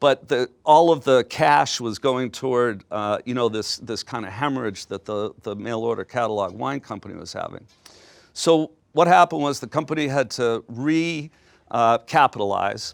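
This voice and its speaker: This man has a normal speaking voice at a medium pitch, speaking at a moderate pace with ordinary pitch variation and big swings in loudness, in a dry, close sound with no echo. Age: 60s. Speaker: business executive. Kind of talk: lecture. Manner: casual, conversational.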